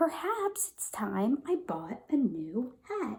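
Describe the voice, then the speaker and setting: A woman puts on a character voice at a high pitch. She goes at a very slow pace with very wide pitch swings. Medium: read story.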